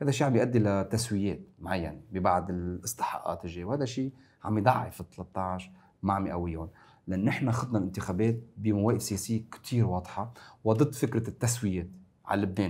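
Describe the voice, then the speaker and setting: A man talks at a fairly low pitch and a fairly quick pace. His pitch variation is ordinary. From Lebanon, north (Zgharta); Lebanon. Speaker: member of parliament and political science lecturer; political science lecturer. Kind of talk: political talk show discussion. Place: studio. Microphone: lapel.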